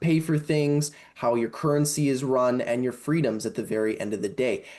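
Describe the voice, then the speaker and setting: The speaker has a Canadian accent and a dark, mellow tone, moving at a fairly quick pace with ordinary pitch variation. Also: man. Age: 20s. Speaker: political candidate. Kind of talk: interview.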